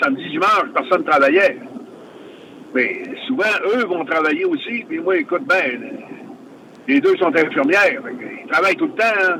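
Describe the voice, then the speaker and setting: A man's raised, projected voice in a Quebec accent, very wide pitch swings, long, frequent pauses, and noticeable background noise. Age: 60s. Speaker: retired professional wrestler. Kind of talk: interview. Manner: halting.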